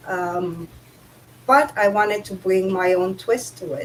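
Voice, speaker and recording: Fairly slow speech in a Romanian accent with fairly even intonation. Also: woman. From Romania, Bucharest. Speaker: author. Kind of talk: casual chat.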